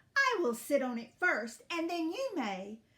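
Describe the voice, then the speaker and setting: A woman speaks in a put-on character voice at an extremely high pitch, drawling her words. Her pitch swings very widely while she keeps a moderate pace. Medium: read story. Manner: slow drawl, haughty.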